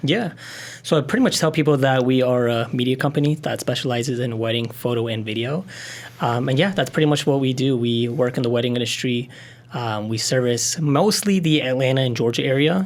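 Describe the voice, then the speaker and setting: The man uses an unremarkable speaking voice, pitched in the medium range and moving at a fairly quick pace. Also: ordinary pitch variation. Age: 20s. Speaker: wedding videographer and business owner. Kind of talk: podcast interview. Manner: casual with many fillers.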